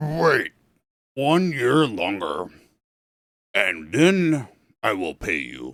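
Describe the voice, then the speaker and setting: Putting on a character voice, a man speaks at a medium pitch and a very slow pace, with very wide pitch swings and long, frequent pauses. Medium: read story.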